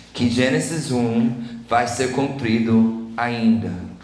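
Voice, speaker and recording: Speaking very slowly, a man uses a medium pitch. Room echo is audible, and background noise is noticeable. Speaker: preacher. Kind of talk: sermon.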